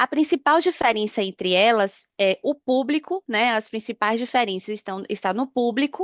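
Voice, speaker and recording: Against a quiet background, a woman with a northeastern Brazilian accent speaks at a moderate pace in a dry, close sound with no echo. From Northeast Brazil. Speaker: pension fund business analyst. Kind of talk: webinar presentation. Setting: online webinar.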